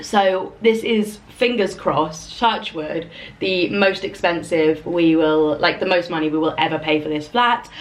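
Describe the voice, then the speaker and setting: Someone with a London accent talks at a fairly slow pace with hardly any pauses over noticeable background noise. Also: woman, fairly low pitch for a woman, ordinary pitch variation. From London, England. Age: 30s. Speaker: lifestyle vlogger. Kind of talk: casual chat. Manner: casual, filler-heavy.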